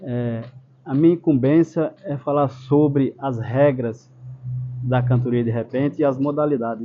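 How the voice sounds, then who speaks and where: Speaking at a fairly slow pace, a man has a normal speaking voice at a medium pitch. His intonation stays fairly even. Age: 60s. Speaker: improvising poet-singer. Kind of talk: explanatory talk.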